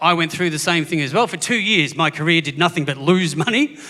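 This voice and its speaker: A man with an Australian accent, a high pitch, a bright, sharp tone and a fairly quick pace. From Australia, Gippsland, Victoria. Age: 40s. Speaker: comedian. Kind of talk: stand-up. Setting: stage with audience.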